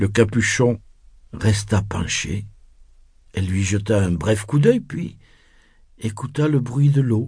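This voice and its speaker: A man speaks in a fairly low, somewhat breathy voice with a soothing tone and ordinary pitch variation. His delivery has long, frequent pauses. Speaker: audiobook narrator. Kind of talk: bedtime story, scripted narration read aloud. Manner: slow, soothing, hushed storytelling pace; gently expressive, voicing characters with shifts in tone.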